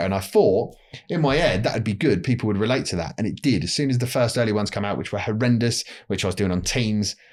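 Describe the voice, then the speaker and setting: Someone with a London accent talks at a very fast pace with ordinary pitch variation. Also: man. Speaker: telecom industry publisher and podcast host. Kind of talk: casual podcast interview.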